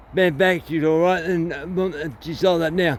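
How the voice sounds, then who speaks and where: Mumbling at a moderate pace, a man with a high pitch keeps his intonation fairly even. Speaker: chainsaw video maker. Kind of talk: casual tutorial. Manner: halting.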